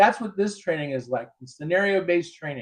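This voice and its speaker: Speaking at a moderate pace, a man uses a high voice with ordinary pitch variation. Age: 60s. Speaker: self-defense instructor. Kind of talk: interview. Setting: live show.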